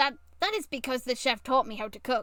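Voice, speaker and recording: In a put-on character voice, a woman talks at a fairly quick pace with a high pitch. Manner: quiet, subdued.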